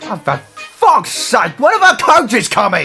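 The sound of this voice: A man performs a cartoonish character voice, high-pitched with a bright, sharp tone and very wide pitch swings. He goes at a slow pace while faint music plays in the background.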